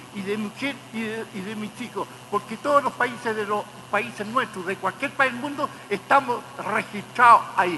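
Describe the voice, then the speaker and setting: Over noticeable background noise, a man talks at a moderate pace in a raised, projected voice with ordinary pitch variation. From Chile. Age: 80s+. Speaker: torture survivor, witness. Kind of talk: court testimony. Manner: halting.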